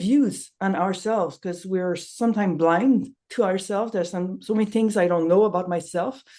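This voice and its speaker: Speaking at a fairly quick pace with a non-native accent, a woman uses a medium pitch, a dark, mellow tone and ordinary pitch variation. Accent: noticeable non-native accent in English. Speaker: nonviolent communication trainer. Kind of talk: casual promotional chat.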